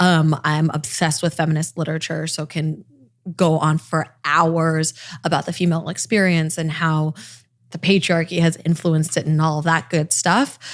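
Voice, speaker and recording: A woman with an American accent speaks in a very deep, low pitch. Her intonation is monotone and flat, and her pace is moderate. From Los Angeles, California. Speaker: TV and online news host. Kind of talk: podcast interview. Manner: conversational, approachable.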